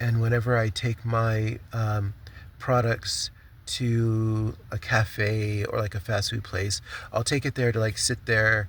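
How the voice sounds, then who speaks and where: Recorded very cleanly against a silent background, a man speaks at a medium pitch in a monotone, flat delivery that is somewhat breathy. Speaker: vlogger and small craft business owner. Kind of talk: casual vlog update. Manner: halting, stumbling with many fillers.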